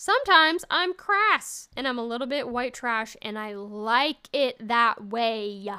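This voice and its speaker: On a very clean recording with a silent background, a woman speaks loudly at a high pitch and a fairly slow pace, animated, bright and sharp, with lively intonation and hardly any pauses. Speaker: solo comedy podcast host. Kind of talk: casual solo monologue.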